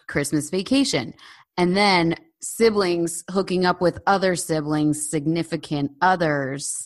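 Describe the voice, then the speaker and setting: A woman with an American accent and ordinary pitch variation, against a quiet background. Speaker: podcast host. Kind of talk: casual chat. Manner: loud, opinionated.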